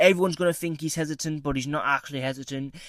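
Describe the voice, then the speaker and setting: A man with a British accent speaks at a fairly high pitch with ordinary pitch variation. The recording is very clean, with a silent background. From UK. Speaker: MMA predictions YouTuber. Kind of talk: casual commentary monologue. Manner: casual, with many fillers.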